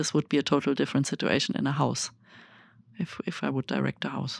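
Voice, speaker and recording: A very fast voice with a German accent and vocal fry, recorded dry and close with no echo, very clean, over a silent background. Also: woman. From Germany. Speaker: festival artistic director. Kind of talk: interview. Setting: studio.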